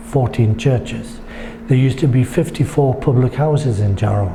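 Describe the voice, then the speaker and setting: A man speaks at a moderate pace with a medium pitch and ordinary pitch variation. There is noticeable background noise. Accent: Geordie. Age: 70s. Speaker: local history writer and photographer. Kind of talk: interview answer.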